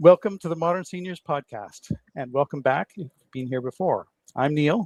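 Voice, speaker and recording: An ordinary speaking voice, a man's fairly high pitch moves with lively intonation and big swings in loudness at a moderate pace, in a dry, close sound with no echo. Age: 60s. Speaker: podcast host. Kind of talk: podcast interview.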